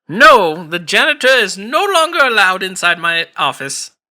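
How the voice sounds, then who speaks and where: A man adopts a put-on character voice, high in pitch, and delivers it at a moderate pace. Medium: actual play. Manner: chipper, evasive.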